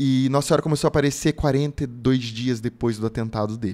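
Dark, mellow tone from a man at a moderate pace, ordinary pitch variation, quiet background. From Brazil, São Paulo state (Lorena); São Paulo state, Brazil. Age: 30s. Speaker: pilgrim and religious content creator; religious content creator. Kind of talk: casual interview testimony. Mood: earnest, devotional. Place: studio. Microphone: studio mic.

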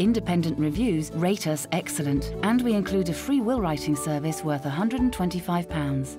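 Music plays in the background as a woman with a very deep, low pitch speaks. Her intonation is lively and her pace fairly quick. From British. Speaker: voice actor. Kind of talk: TV commercial read.

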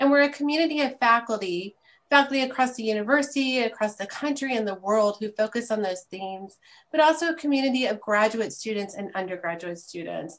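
A woman speaks at a fairly quick pace. Her loudness swings widely. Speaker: event host introducing a speaker. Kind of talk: formal introduction. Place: home room. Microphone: video call.

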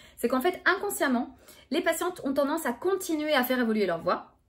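At a fairly quick pace, a woman speaks in a high voice with very wide pitch swings against a quiet background. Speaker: speech therapist. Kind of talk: educational talk to camera. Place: home room. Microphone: phone near.

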